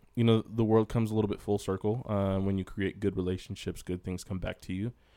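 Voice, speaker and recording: A man with an ordinary speaking voice and a fairly low pitch speaks at a fairly quick pace. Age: 20s. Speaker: podcast host. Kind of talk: casual chat.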